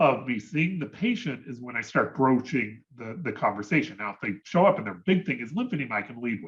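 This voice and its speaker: Very wide pitch swings from a man at a fairly high pitch and fairly quick pace. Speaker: physician. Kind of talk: lecture. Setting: video call. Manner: fast.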